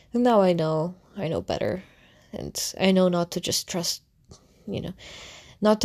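Here a woman speaks at a fairly quick pace. Her pitch is fairly low and her tone dark and mellow. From Russia. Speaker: content creator. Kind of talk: storytelling monologue. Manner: halting.

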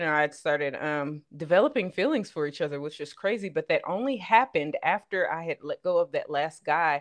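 Delivered at a fairly quick pace, the speech has ordinary pitch variation and a slight Southern US accent. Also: woman. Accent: slight Southern twang. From Los Angeles, California. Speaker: podcaster. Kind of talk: casual chat.

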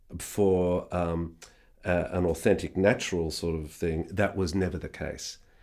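In a very clean recording with a silent background, a man with an Australian accent speaks at a very deep, low pitch. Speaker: re-recording mixer. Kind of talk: casual interview. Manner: hesitant, filler-heavy.

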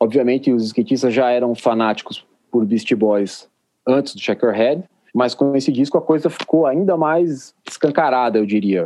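Here a man speaks with a dark, mellow tone. His pitch sits in the medium range with ordinary variation. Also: moderate pace. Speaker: editor and music journalist. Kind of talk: casual interview.

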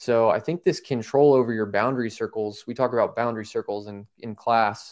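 A man's medium-pitched, fairly even voice, a normal speaking voice, against a quiet background. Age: 20s. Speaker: podcast co-host. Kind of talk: casual chat.

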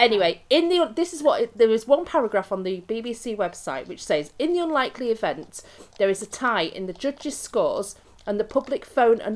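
Her fairly high voice swings very widely in pitch as this woman talks at a moderate pace. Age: middle-aged. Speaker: podcast host. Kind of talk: casual chat.

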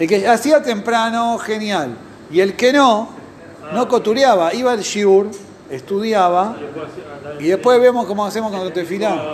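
In a room with audible echo and noticeable background noise, a high-pitched man speaks at a moderate pace with lively intonation. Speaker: Talmud teacher. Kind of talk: lecture.

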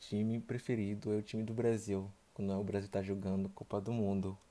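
Delivered with a Haitian accent, the voice has a dark, mellow tone and a monotone, flat intonation. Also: man. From Haiti, Port-au-Prince. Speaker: travel podcast guest. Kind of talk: casual interview.

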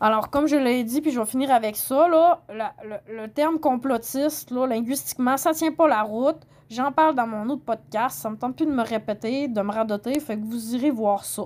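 A woman speaks at a moderate pace with hardly any pauses. Her pitch is high, with ordinary pitch variation. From Quebec, Saguenay. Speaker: podcaster. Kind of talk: solo commentary podcast. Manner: halting.

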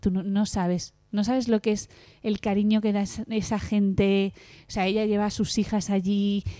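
With monotone, flat intonation, a woman speaks in a dark, mellow tone on a very clean recording with a silent background. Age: 30s. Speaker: podcast co-host. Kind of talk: casual chat.

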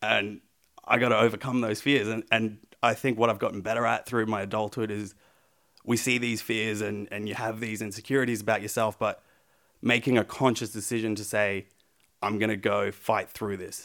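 In an Australian accent, a man talks at a fairly quick pace with monotone, flat intonation on a very clean recording with a silent background. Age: 20s. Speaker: pro wrestler. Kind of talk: casual interview chat.

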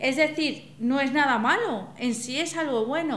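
The recording has audible room echo and noticeable background noise. A woman speaks with ordinary pitch variation. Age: 40s. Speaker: psychologist. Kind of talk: casual chat.

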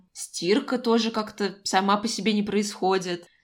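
This is a very clean recording with a silent background. The speaker is a woman. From Moscow, Russia. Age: 20s. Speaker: podcast co-host, recent graduate. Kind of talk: casual chat. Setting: call.

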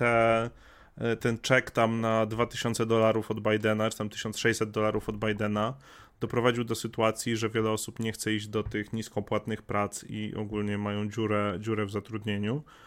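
The recording is very clean, with a silent background. A man with an unremarkable speaking voice talks at a moderate pace and a medium pitch. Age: 30s. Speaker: streamer. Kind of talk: casual chat.

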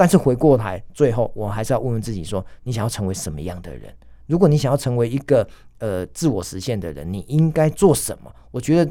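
On a very clean recording with a silent background, a man with a Taiwanese accent talks at a fairly quick pace with vocal fry. His medium-pitched, dark and mellow voice has very wide pitch swings and big swings in loudness. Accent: Taiwanese Mandarin. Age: 50s. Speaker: restaurant executive and author. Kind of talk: interview. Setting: studio. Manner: enthusiastic.

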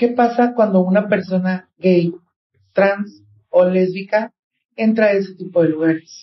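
A woman speaks at a fairly slow pace with a somewhat breathy voice. Her loudness stays very even and her intonation fairly even. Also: medium pitch for a woman. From Mexico, Guadalajara, Jalisco. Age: 30s. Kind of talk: interview.

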